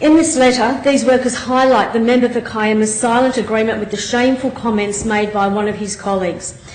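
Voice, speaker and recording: With hardly any pauses, a woman talks at a fairly quick pace in a fairly high pitch with fairly even intonation, over noticeable background noise. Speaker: state member of parliament. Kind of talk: parliamentary debate speech.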